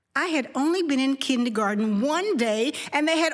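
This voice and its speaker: Over noticeable background noise, a woman talks in an animated tone at a moderate pace. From Harlem, New York. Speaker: storyteller. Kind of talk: personal storytelling on stage. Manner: animated, expressive.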